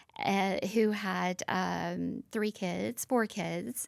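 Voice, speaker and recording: This is a woman speaking. She has a Southern US accent. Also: very clean recording, silent background. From US South, Nashville, Tennessee. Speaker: former fashion model. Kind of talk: interview.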